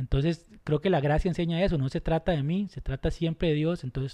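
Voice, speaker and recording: A man's fairly high voice, dark and mellow, at a fairly quick pace with fairly even intonation against a quiet background. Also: dry, close sound with no echo. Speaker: youth pastor. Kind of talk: casual chat. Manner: fast.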